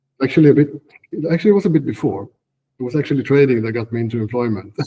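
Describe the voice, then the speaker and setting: Speaking at a very fast pace, a man with a medium pitch and somewhat breathy voice uses lively intonation. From northern Sweden. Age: 40s. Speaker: trader and software engineer. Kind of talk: interview. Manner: halting, many fillers.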